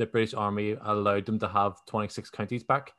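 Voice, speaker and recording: Against a quiet background, a man with a Belfast accent speaks at a moderate pace with a fairly low pitch. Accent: Belfast Northern Irish. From Northern Ireland, Belfast. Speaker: podcaster. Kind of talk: casual chat.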